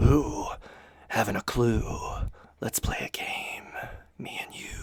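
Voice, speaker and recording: In a put-on character voice, gravelly and whispering, the speaker goes at a fairly slow pace. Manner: whispering, gloomy, somber.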